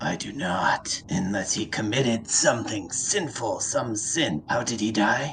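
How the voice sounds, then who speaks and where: Putting on a raspy character voice at medium pitch, a man speaks at a moderate pace with hardly any pauses against clear background noise. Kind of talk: fantasy tabletop roleplay. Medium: actual play. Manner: formal, archaic.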